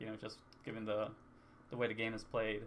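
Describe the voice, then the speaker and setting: A soft-spoken man talks at a fairly quick pace. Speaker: gamer vlogger. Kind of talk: casual talk to camera. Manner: hesitant, rambling.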